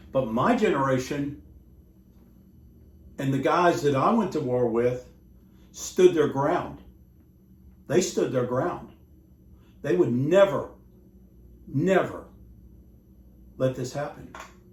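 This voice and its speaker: A man with an American accent speaks very slowly at a fairly high pitch, with lively intonation. Long, frequent pauses and audible room echo fill the clip. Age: 60s. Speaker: war veteran and vlogger. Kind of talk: rant. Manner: animated.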